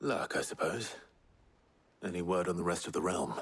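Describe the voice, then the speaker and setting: In a put-on character voice, a man growls with a raspy, very deep, low pitch. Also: moderate pace, very even loudness. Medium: video game. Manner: restrained, low-key.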